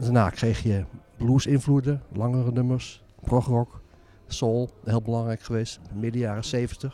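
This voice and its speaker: In a dark, mellow tone, a man talks at a fairly slow pace and medium pitch with monotone, flat intonation. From Zaanstreek, North Holland, Netherlands. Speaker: author and music historian. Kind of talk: interview. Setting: former church, community centre.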